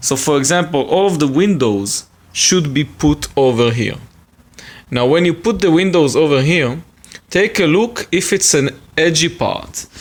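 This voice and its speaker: With an Israeli accent, a man speaks at a fairly slow pace in a fairly high pitch, using lively intonation and very even loudness. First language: Hebrew. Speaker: hobbyist video maker. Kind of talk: tutorial. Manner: casual, with hesitations.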